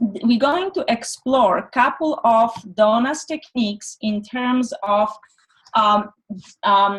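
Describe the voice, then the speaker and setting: A woman speaks at a very slow pace with a slight non-native accent. Her fairly high voice has lively intonation. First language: not English. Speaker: energy medicine practitioner and teacher. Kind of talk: online presentation. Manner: halting.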